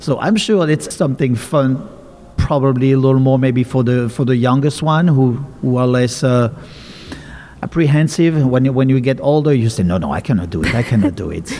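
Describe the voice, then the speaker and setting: A man's medium-pitched voice with lively intonation at a fairly quick pace, over noticeable background noise. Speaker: podcast host. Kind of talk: podcast interview host talk.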